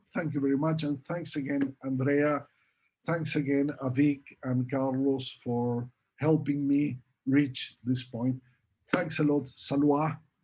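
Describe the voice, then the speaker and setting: A man speaks at a very slow pace in a fairly high pitch. His tone is dark and mellow, with fairly even intonation. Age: 60s. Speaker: professor; presenter. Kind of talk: Q&A answers; lecture. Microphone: webcam.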